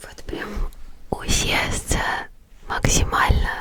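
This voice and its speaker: Noticeable background noise sits behind the voice. A woman speaks in a whisper. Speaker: ASMR creator. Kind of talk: ASMR sleep whisper to viewer. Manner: whispered; soft, gentle, close.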